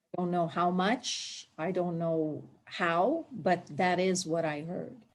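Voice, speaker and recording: At a very slow pace, a woman with a Palestinian accent speaks at a fairly low pitch with ordinary pitch variation. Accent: Palestinian Arab. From Palestine, Jerusalem. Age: 60s. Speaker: immigrant interviewee. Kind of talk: oral history interview.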